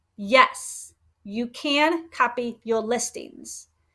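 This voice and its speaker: A woman with lively intonation on a very clean recording with a silent background. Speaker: Etsy shop owner teaching online selling. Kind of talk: livestream tutorial. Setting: live stream with chat.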